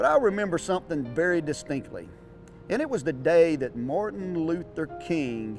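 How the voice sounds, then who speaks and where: Music plays in the background. Over it, a man speaks with a Southern US accent. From North Florida. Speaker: auctioneer. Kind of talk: personal storytelling to camera.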